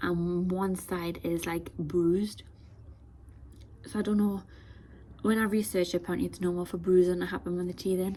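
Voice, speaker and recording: A woman's fairly low, dark and mellow voice at a moderate pace, with fairly even intonation and long, frequent pauses. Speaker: vlogger. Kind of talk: casual vlog chat. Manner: quiet, hushed.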